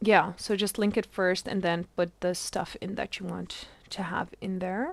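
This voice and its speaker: A woman's medium-pitched, flat, monotone voice at a fairly slow pace, with a non-native accent. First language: not English. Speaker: gaming streamer. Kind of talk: live gameplay stream tutorial. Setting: live stream. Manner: halting, many fillers.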